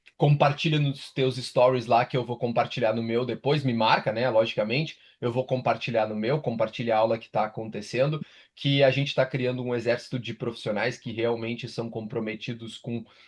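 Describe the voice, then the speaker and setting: Delivered in a strong gaúcho accent, the speech moves at a moderate pace with fairly even intonation. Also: man, medium pitch for a man. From southern Brazil, Rio Grande do Sul (Pelotas). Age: 30s. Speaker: sports nutritionist and university professor. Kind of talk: online lecture. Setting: live online class. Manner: casual, filler-heavy.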